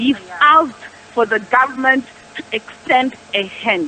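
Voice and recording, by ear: A woman at a high pitch, bright and sharp in tone, with ordinary pitch variation and a fairly slow pace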